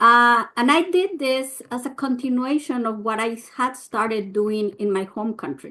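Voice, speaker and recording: Fairly high pitch from a woman with a Mexican accent, ordinary pitch variation, a moderate pace and a quiet background. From Mexico. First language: Spanish. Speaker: nonprofit leader, immigrant advocate. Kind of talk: prepared talk at press briefing. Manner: hesitant, many fillers.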